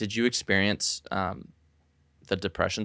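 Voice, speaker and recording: A man with an unremarkable speaking voice talks at a fairly low pitch and a fairly quick pace. The sound is dry and close, with no echo. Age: 20s. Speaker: podcast host. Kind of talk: casual chat.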